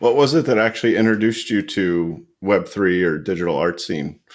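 Using a plain, everyday voice, a man speaks at a moderate pace with a fairly low pitch and lively intonation. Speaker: podcast host. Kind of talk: casual interview chat.

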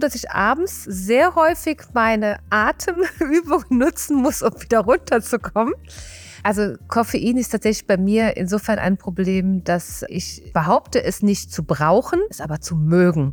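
The speaker has a Rhineland accent. The pace is fairly slow. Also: woman. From Rhineland, Germany. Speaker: mental coach and hypnotherapist. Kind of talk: casual interview.

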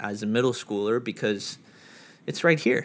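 An ordinary speaking voice with an American accent moves at a moderate pace in a very clean recording with a silent background. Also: man. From New York. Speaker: podcast guest. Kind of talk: casual chat.

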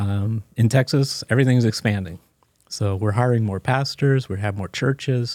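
A man with an American accent uses a normal speaking voice at a medium pitch, a moderate pace and fairly even intonation, in a very clean, dry, close recording with a silent background and no echo. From US Mid-Atlantic (Maryland, Washington DC area). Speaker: church finance officer. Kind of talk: interview.

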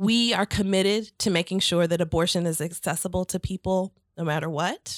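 In an American accent, a woman with a normal speaking voice talks at a moderate pace, with medium pitch and ordinary pitch variation. The sound is dry and close with no echo, and the recording is very clean against a silent background. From St. Louis, Missouri. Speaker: nonprofit executive director. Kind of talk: interview.

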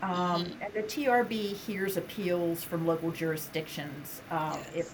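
Noticeable background noise and audible room echo surround a woman with a fairly low pitch. She speaks at a moderate pace with fairly even intonation. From Western Pennsylvania. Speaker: state building code official. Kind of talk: interview.

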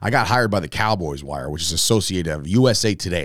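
A man with a New Jersey accent talks at a very fast pace in a very deep, low pitch, with lively intonation. The recording is very clean, with a silent background. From New Jersey (Fords, Woodbridge area). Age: 30s. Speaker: podcast host, former pro wrestler. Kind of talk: casual solo monologue.

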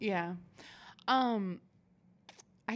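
A woman speaks at a medium pitch with a West Coast accent and ordinary pitch variation. The recording is very clean, with a silent background. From Oregon. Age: 30s. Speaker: podcast host. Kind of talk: casual interview chat.

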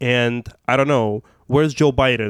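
A man with a medium pitch speaks with a Russian accent, the sound dry and close with no echo. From Russia, Moscow. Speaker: activist. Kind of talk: casual chat.

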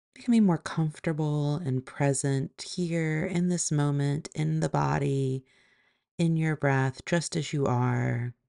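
A woman's very deep, low voice with a dark, mellow tone, ordinary pitch variation, big swings in loudness and a fairly slow pace, in a dry, close sound with no echo against a quiet background. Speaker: yoga teacher and meditation guide. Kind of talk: guided meditation. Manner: slow, soft, calm and soothing; gentle, measured, with long pauses.

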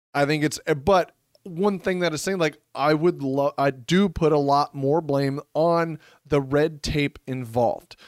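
An unremarkable speaking voice with ordinary pitch variation comes through a very clean recording, silent in the background, with a dry, close sound and no echo. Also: man. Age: 30s. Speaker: real estate podcast co-host. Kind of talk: casual chat.

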